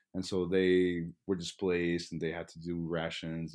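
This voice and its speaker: A man speaks with a Spanish accent at a very deep, low pitch. The background is quiet. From Texas, inner city Dallas. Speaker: graduate student. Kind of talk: interview conversation.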